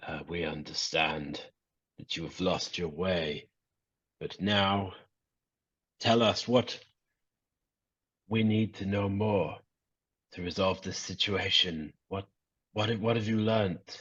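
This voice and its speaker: A man's booming, put-on character voice, fairly low in pitch, fairly slow, with long, frequent pauses. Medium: actual play. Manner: booming, fervent.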